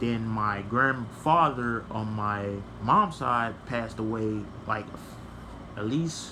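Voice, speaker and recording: Delivered at a very slow pace with long, frequent pauses, the speech has ordinary pitch variation and audible room echo. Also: man. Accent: American. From Texas, Houston. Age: 20s. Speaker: vlogger. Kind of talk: personal storytelling vlog. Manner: halting, many fillers.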